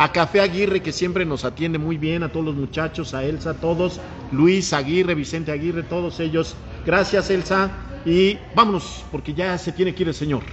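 This man's high-pitched voice stays fairly even in intonation, with noticeable noise behind it. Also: moderate pace. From Mexico, Puebla. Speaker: podcast host. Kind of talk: casual interview chat. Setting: café.

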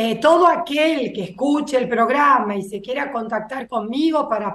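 A woman speaks with a high pitch. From Buenos Aires, Argentina. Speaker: agronomist and soybean breeder. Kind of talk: interview.

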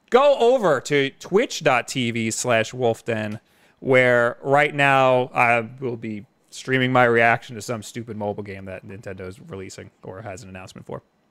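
A man at a medium pitch talks at a moderate pace in an unremarkable speaking voice, with ordinary pitch variation and big swings in loudness. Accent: American. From New York, Long Island. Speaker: gaming YouTuber and live stream host. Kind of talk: casual chat. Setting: live stream.

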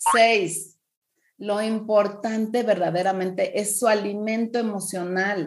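At a very slow pace, a woman speaks at medium pitch in a monotone, flat intonation. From Mexico. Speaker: parenting coach. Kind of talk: podcast interview, advice talk.

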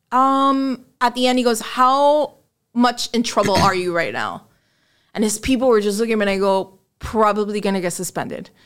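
This woman has a fairly high pitch. She speaks with a Miami accent. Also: ordinary pitch variation, moderate pace. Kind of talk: casual chat.

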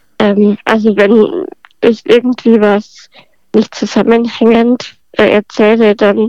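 Fairly even intonation from a woman whose pitch sits fairly high. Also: dry, close sound with no echo. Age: 20s. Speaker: podcast guest with spinal muscular atrophy. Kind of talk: casual interview.

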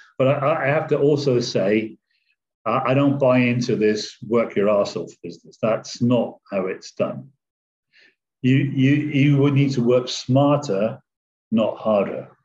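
Speaking fairly slowly with an English accent, the man has a somewhat breathy, medium-pitched voice and ordinary pitch variation. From England. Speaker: online trader. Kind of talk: casual interview.

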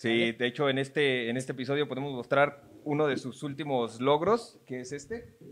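Speaking with a Mexican accent, a man talks at a fairly high pitch and a moderate pace, with ordinary pitch variation and hardly any pauses. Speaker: podcast host. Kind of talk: casual chat. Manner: animated.

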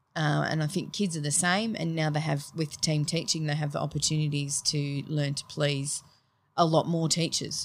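In an Australian accent, a woman speaks at a moderate pace with a very deep, low pitch and monotone, flat intonation. The recording is very clean and the background silent. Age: 40s. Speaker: teacher. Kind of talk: casual interview chat.

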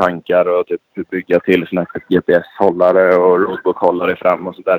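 Very deep and low, a man's voice moves along at a fairly quick pace. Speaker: motocross and rally rider. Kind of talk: casual interview.

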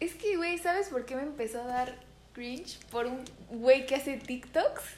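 A high-pitched woman's voice with a Mexican accent, a fairly slow pace and ordinary pitch variation. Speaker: podcast co-host. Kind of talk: casual chat.

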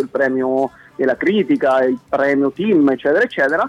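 A man speaks with ordinary pitch variation. The sound is dry and close with no echo, over noticeable background noise. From Italy, Marche (Apennines, Amandola). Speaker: musician, game co-creator. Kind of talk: casual interview. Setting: phone call. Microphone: dropped phone line.

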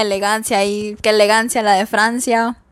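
A woman's fairly high, monotone, flat voice at a fairly slow pace, on a very clean recording with a silent background. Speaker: podcast host. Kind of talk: casual solo chat. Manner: halting, with pauses.

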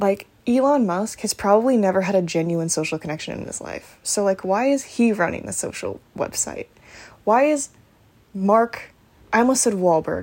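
A woman with an American accent talks at a moderate pace in an unremarkable speaking voice, her pitch medium. Her intonation is lively, and her loudness swings widely. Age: 20s. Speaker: podcaster and YouTuber. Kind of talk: casual solo monologue. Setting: home recording at night. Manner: soft-spoken.

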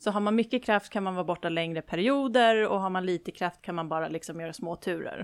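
A woman with a plain, everyday voice speaks at a medium pitch and a fairly quick pace. Her intonation is lively, on a very clean recording with a silent background. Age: 20s. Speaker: spiritual medium. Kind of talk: interview.

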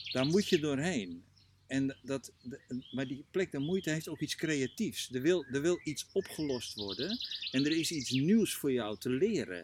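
With very wide pitch swings, a man with a fairly high voice speaks at a fairly slow pace. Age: 60s. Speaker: coach and trainer. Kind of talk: casual interview. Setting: outdoors in a garden. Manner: halting, many repetitions.

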